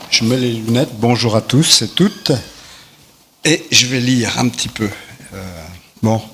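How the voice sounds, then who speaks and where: Against noticeable background noise, a man speaks at a fairly slow pace with long, frequent pauses, at medium pitch with ordinary pitch variation. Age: 60s. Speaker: recovering alcoholic giving testimony. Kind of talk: testimony read aloud.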